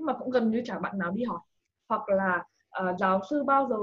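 This woman's voice sits fairly high, with lively intonation. She speaks at a very fast pace. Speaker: scholarship advice page creator, former student abroad. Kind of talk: casual interview.

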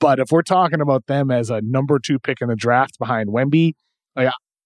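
A slight Boston accent comes through with ordinary pitch variation. The sound is dry and close with no echo, over a quiet background. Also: man. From Massachusetts South Shore. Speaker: podcast host, NBA draft analyst. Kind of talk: casual sports talk.

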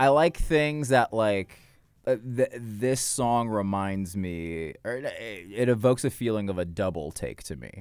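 A man speaks with an American accent in a normal speaking voice, his pitch fairly low and his intonation lively. The pace is fairly slow, and the recording is very clean with a silent background. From US South, Georgia (Marietta). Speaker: comedian. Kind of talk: casual chat.

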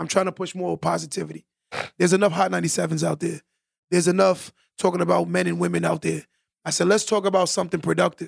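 A man with a New York accent, talking at a very fast pace. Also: dry, close sound with no echo. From Long Island, New York. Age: 30s. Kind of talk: casual interview chat. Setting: studio.

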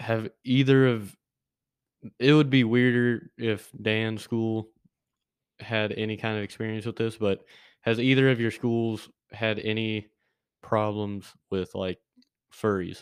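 Against a quiet background, a man speaks with monotone, flat intonation. His pace is fairly slow, broken by long, frequent pauses. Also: medium pitch for a man. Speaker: co-host and producer. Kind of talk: casual chat.

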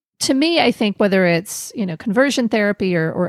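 An unremarkable speaking voice from a woman at medium pitch and moderate pace, with lively intonation and a dry, close sound with no echo in a very clean recording with a silent background. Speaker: podcast host. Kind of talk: casual interview chat.

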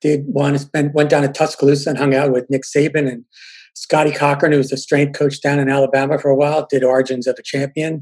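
This man talks at a very fast pace in a flat, monotone delivery. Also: fairly high pitch for a man. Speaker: journalist. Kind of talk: casual chat.

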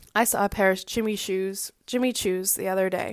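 A woman with an American accent speaks at a medium pitch and moderate pace with fairly even intonation on a very clean recording with a silent background. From Boston area, US. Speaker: fashion podcast host. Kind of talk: casual solo monologue.

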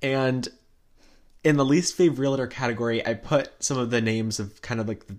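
A man speaks at a fairly quick pace in a plain, everyday voice, with medium pitch and ordinary pitch variation, on a very clean recording with a silent background. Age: young. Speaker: podcast co-host, recent high school graduate. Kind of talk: casual chat.

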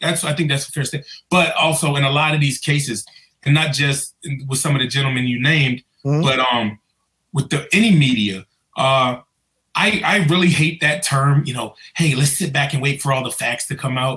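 A man with an American accent, a bright, sharp tone, ordinary pitch variation and a fairly quick pace. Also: fairly high pitch for a man. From Prince George's County, Maryland (DC area). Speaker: police officer. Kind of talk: interview. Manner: halting, many fillers.

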